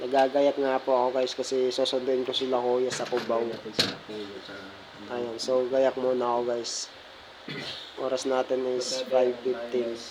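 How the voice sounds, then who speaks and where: Soft-spoken and monotone, a man talks at a fairly slow pace with long, frequent pauses and flat intonation amid noticeable background noise. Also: medium pitch for a man. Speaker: vlogger. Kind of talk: casual vlog. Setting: outdoors, LRT and bus terminal. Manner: soft, quiet.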